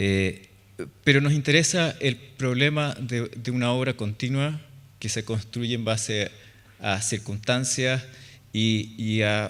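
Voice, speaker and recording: In a very clean recording with a silent background, a man with a Chilean accent speaks at a very slow pace with long, frequent pauses. His pitch is medium, with ordinary variation. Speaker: architect. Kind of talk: conference talk. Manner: hesitant, many fillers.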